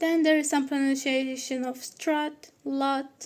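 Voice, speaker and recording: A woman with a non-native accent speaks at a high pitch. Her delivery is very slow, with a monotone, flat intonation. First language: Turkish. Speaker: student presenter. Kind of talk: student presentation. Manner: halting.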